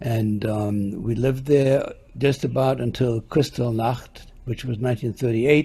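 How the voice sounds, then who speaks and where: A somewhat breathy man's voice, dark and mellow in tone, at a moderate pace. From Germany (Halberstadt). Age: 80s+. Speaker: Holocaust survivor, witness of the Nazi era. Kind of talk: oral history testimony. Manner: halting.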